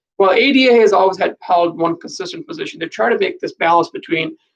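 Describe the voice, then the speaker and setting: The sound is dry and close, with no echo. A man talks at a fairly quick pace. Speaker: legal commentator vlogger. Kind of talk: live stream explainer. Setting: live video broadcast. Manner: fast; halting.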